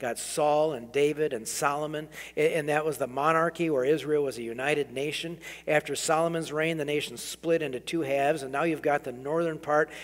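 The delivery moves at a fairly quick pace with monotone, flat intonation. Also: man. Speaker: preacher. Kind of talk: sermon. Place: church. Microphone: podium.

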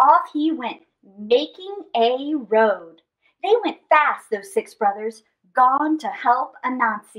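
A woman speaks at a slow pace with a high pitch. Her tone is fairly bright. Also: lively intonation.

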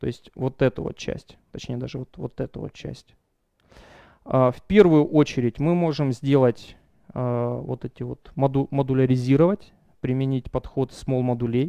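A man talks at a fairly slow pace in a dark, mellow tone, his loudness swinging widely and his pitch varying in an ordinary way. The sound is dry with no echo, over a quiet background. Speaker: software developer; conference speaker. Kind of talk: conference talk. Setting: stage with audience. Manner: halting, many fillers. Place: hall. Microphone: headset.

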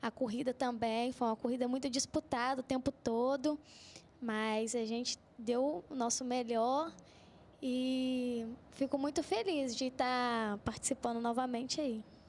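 Her high-pitched voice holds a very even loudness and fairly even intonation over light background noise. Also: fairly slow pace. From Minas Gerais, Brazil. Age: 20s. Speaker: runner; guest. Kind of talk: TV interview. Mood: happy, smiling. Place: studio. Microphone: handheld.

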